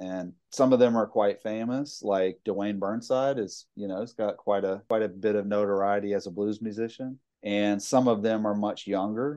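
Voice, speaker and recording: Over a quiet background, a man with a Mississippi accent talks in a fairly low pitch with a dark, mellow tone and fairly even intonation. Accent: Mississippi Southern US. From US South, Mississippi (Jackson area). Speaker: college instructor and storytelling event organizer. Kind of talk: casual interview.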